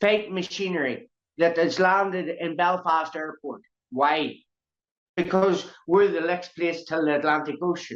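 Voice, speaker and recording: The speaker has a Northern Irish accent. The pace is fairly slow. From Northern Ireland. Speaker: activist speaking on Irish sovereignty. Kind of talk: impassioned interview talk. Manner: animated.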